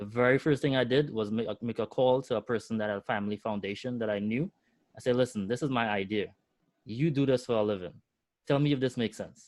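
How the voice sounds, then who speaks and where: At a very fast pace, a man with a medium pitch and ordinary pitch variation speaks in a dry, close sound with no echo over a quiet background. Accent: strong Trinidadian. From Trinidad. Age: 40s. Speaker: entrepreneur. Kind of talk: webinar interview.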